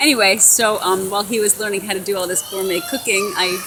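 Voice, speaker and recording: Fairly quick speech from a woman, with noticeable background noise behind it. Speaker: honeymooning vlogger. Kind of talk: casual chat. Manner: halting.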